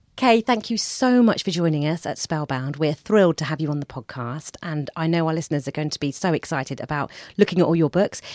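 Someone with a British accent talks very fast with lively intonation and hardly any pauses. The sound is dry and close with no echo, in a very clean recording with a silent background. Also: woman, very deep, low pitch for a woman. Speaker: podcast host. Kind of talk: podcast interview and narration. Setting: studio.

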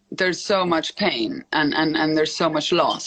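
The speech moves at a moderate pace. Noticeable background noise can be heard. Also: woman. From Italy. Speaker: hotel group executive. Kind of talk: casual interview. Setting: video call from hotel office.

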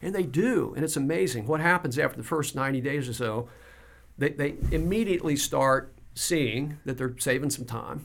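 This man has an ordinary speaking voice, with medium pitch and a moderate pace. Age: 60s. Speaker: business coach. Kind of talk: casual interview conversation.

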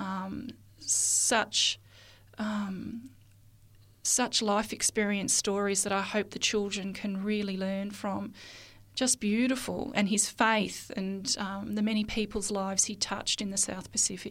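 A woman speaks in an Australian accent at a fairly slow pace. Her medium-pitched voice has a monotone, flat intonation. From Australia, rural northeast Victoria. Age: 40s. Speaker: children's TV and radio producer. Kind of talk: interview.

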